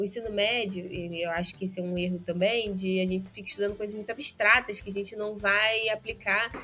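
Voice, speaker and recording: Hardly pausing, a woman talks at a fairly quick pace and medium pitch in a monotone, flat intonation. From interior of Rio de Janeiro state, Brazil. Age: 20s. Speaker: podcast guest. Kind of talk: casual interview chat.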